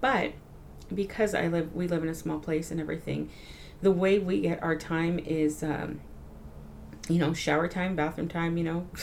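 Amid audible room echo, a woman with a fairly low pitch and ordinary pitch variation speaks with long, frequent pauses. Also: moderate pace. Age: 30s. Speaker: educator and mother. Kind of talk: casual interview.

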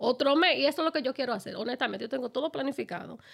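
Very fast and animated, a woman talks with lively intonation. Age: 50s. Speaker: podcast host. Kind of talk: casual chat.

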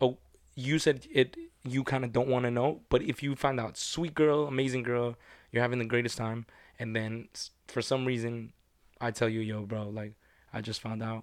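A moderate pace and fairly even intonation with a non-native accent, in a very clean recording against a silent background. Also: man, medium pitch for a man. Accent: foreign-accented English. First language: not English. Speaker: podcast co-host. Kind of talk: casual chat.

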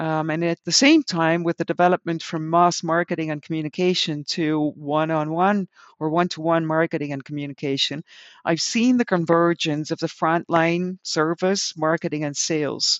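With a Dutch accent, a woman speaks at a moderate pace in a fairly low pitch and fairly even intonation. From Netherlands. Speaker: customer experience consultant and author. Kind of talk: casual interview conversation.

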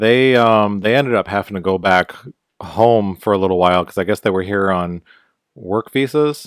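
With an American accent, a man speaks in a plain, everyday voice at a fairly low pitch and a moderate pace, with ordinary pitch variation, in a dry, close sound with no echo and a very clean recording over a silent background. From US. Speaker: podcast co-host. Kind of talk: casual chat. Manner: laid-back, joking.

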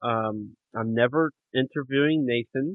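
The pace here is fairly slow, and pitch varies in an ordinary way. It is a plain, everyday voice. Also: man. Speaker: podcast host. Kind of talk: casual chat.

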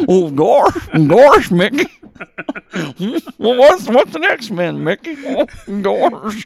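A man's put-on character voice, extremely high-pitched with very wide pitch swings, very slow and broken by long, frequent pauses. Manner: cheerful, naive.

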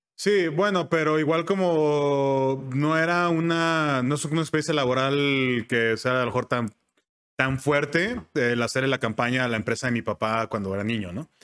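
A man speaks at a moderate pace in a plain, everyday voice, his pitch fairly high and its variation ordinary. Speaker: voice-over artist and advertising professional. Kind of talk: casual interview.

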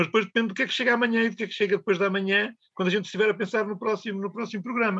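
A man's high-pitched, bright, sharp voice at a very fast pace, monotone and flat, with hardly any pauses. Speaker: radio presenter. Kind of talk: casual chat. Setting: studio.

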